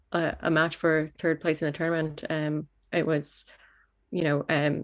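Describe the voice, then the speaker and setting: A woman with a Canadian accent speaks at a very deep, low pitch, with vocal fry and monotone, flat intonation. The recording is very clean, with a silent background. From Canada. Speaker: football goalkeeper. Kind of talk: interview. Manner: halting, many fillers.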